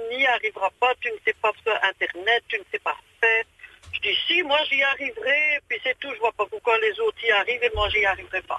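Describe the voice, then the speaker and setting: A woman is speaking. Her pitch is high. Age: 60s. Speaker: radio caller. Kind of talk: phone-in chat. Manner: animated.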